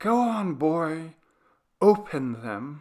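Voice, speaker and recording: A man's soft-spoken, put-on character voice. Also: fairly high pitch for a man. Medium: read story. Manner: quiet, menacing.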